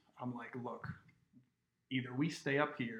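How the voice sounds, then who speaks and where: A man speaks at a moderate pace. His voice sits at a medium pitch. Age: 30s. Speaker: podcast guest, host's best friend. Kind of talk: casual storytelling.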